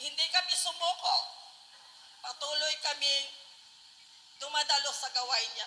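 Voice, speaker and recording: A raised, projected voice moves at a fairly slow pace with fairly even intonation. Long, frequent pauses break it up, and noticeable background noise runs underneath. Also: woman, high pitch for a woman. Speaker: church member giving testimony. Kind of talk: testimony. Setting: gathering with radio broadcast.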